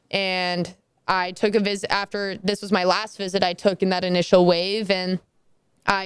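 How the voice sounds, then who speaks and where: On a very clean recording with a silent background, a woman speaks at a medium pitch and a moderate pace. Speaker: college softball player. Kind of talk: interview. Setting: team training facility. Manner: loud when passionate; animated.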